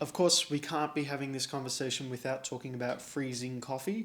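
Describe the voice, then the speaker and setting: A man with an Australian accent talks at medium pitch. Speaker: coffee youtuber. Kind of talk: casual chat. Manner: fast.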